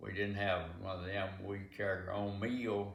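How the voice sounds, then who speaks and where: A man with a Southern US accent. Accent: Southern American. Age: 80s+. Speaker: farmer. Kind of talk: interview answer.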